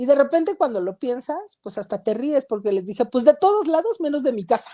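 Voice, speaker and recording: Lively intonation marks a woman's dark, mellow tone as she speaks at a fairly quick pace. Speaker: talk show co-host. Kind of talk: live-streamed panel discussion. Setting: online live stream.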